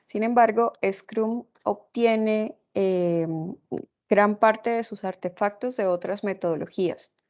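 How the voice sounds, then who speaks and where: Intonation stays fairly even while the delivery unfolds at a very slow pace. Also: woman. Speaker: programming instructor. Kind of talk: lecture.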